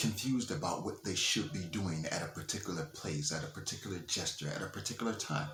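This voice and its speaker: A man's very deep, low voice at a fairly quick pace, with lively intonation, audible room echo and noticeable background noise. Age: 40s. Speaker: motivational speaker. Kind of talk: motivational monologue. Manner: animated; halting.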